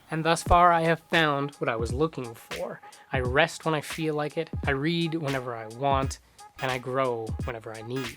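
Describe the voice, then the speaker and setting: The talking proceeds at a moderate pace. Background music can be heard. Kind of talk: personal vlog voice-over.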